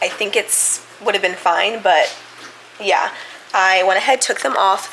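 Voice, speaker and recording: There is noticeable background noise. Over it, a woman speaks with fairly even intonation. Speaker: vlogger. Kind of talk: casual vlog narration. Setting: home kitchen.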